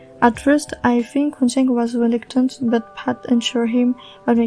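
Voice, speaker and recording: Over music in the background, a woman speaks at a moderate pace in a high pitch with monotone, flat intonation. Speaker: series recap podcaster. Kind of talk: casual spoken TV episode recap.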